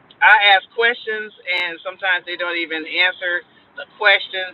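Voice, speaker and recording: A woman's normal speaking voice, medium in pitch, with fairly even intonation at a moderate pace. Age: 50s. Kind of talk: casual livestream talk to camera. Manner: casual, chatty.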